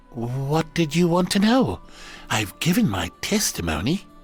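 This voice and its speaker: Faint music plays in the background as a man uses a put-on character voice, fairly high in pitch, with very wide pitch swings at a moderate pace. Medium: machinima. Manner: blustering, self-important.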